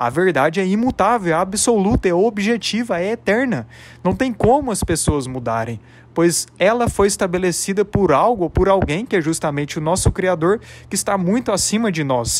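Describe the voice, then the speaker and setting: A man at a high pitch and moderate pace, his intonation lively, on a very clean recording with a silent background. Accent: Brazilian. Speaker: religious YouTuber. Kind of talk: religious reflection monologue.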